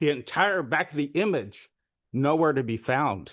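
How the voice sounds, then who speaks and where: A man with a plain, everyday voice speaks at a fairly high pitch. His intonation is lively. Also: quiet background. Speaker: public commenter presenting election data. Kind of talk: public comment presentation.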